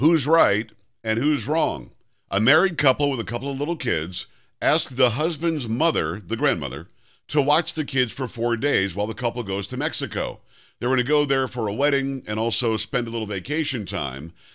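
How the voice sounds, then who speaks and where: Against a quiet background, a man with a medium pitch and vocal fry speaks at a fairly quick pace with lively intonation. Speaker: syndicated talk radio host. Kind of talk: talk radio commentary. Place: studio.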